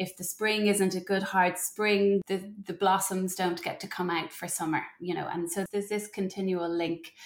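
A woman with an Irish accent speaks at a medium pitch and moderate pace, in monotone, flat intonation with hardly any pauses. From Ireland. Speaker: mother and postpartum doula. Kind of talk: interview conversation.

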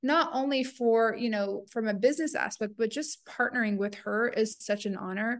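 This woman has an ordinary speaking voice, fairly high in pitch, with ordinary pitch variation. She keeps a moderate pace with hardly any pauses. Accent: American. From rural United States, Iraqi family. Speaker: beauty brand co-founder. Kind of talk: interview.

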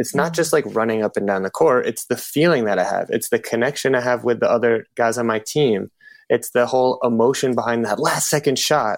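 A man's normal speaking voice, a normal speaking voice at medium pitch, fairly quick with hardly any pauses, very even in loudness, in a dry, close sound with no echo. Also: ordinary pitch variation. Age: 20s. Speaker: fitness coach. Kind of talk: casual chat.

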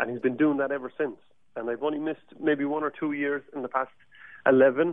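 This is a man's voice. He speaks with a Cork accent. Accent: Irish (Cork). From Ireland, Cork. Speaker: Irish musician. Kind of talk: radio interview. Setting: studio. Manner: animated.

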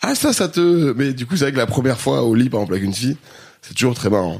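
With lively intonation, a man at medium pitch speaks at a very fast pace. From France, Grenoble area. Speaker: musician and entertainer. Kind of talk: casual chat.

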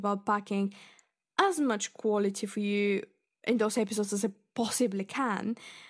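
With a Bulgarian accent, a woman speaks at a moderate pace in a fairly high pitch, on a very clean recording with a silent background. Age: 20s. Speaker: podcast host, literature student. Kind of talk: solo podcast monologue. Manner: chatty, frequent laughs and fillers.

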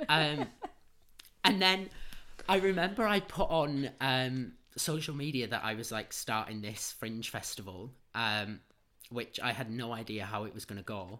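Speaking at a fairly slow pace with a Manchester accent, a man uses very wide pitch swings, big swings in loudness and long, frequent pauses, in a very clean recording with a silent background. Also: medium pitch for a man. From north Manchester, England. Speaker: drama-trained festival co-founder. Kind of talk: casual interview chat.

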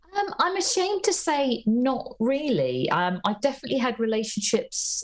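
Her somewhat breathy voice moves in very wide pitch swings. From northern England, Ormskirk, Lancashire. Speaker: comedian and author. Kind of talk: casual chat. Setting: video call.

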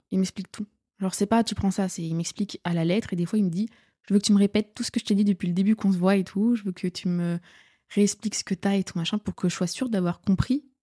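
A woman speaks very fast at a medium pitch, her intonation fairly even and her tone dark and mellow with a somewhat breathy edge, on a very clean recording with a silent background and a dry, close sound with no echo. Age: 20s. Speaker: student. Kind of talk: casual chat.

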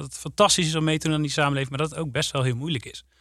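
A bright, sharp, fairly high male voice on a very clean recording with a silent background. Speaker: teacher and teacher trainer. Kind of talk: podcast conversation. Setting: studio.

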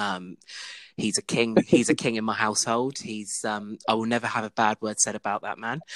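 At a moderate pace, a man with an English accent speaks in a medium pitch. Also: ordinary pitch variation, dry, close sound with no echo, very clean recording, silent background. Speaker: podcast host. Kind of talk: casual chat among friends, recorded live. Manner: chatty, informal.

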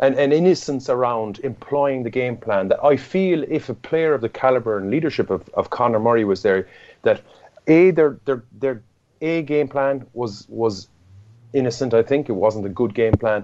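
Over a quiet background, a man with an Irish accent talks at a moderate pace with medium pitch and ordinary pitch variation. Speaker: rugby pundit. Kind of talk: sports analysis discussion. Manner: halting, repeats words.

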